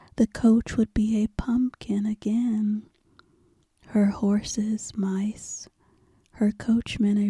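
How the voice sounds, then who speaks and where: Whispering and soft-spoken, this voice is somewhat breathy and moves at a very slow pace. Its tone is soothing, and the sound is dry and close with no echo. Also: woman. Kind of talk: whispered ASMR bedtime story reading. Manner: whispered, soft, slow, soothing.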